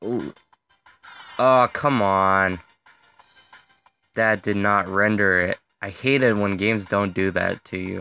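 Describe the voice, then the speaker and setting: A man's fairly low voice at a very slow pace, with long, frequent pauses and music in the background. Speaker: gaming video creator. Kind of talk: gameplay commentary. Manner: animated.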